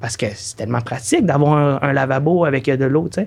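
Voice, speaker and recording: With a Quebec accent, a man speaks at a moderate pace in a fairly high, somewhat breathy voice on a very clean recording with a silent background. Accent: Québécois French. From Quebec City, Quebec. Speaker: director of an engineering charity. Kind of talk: podcast interview.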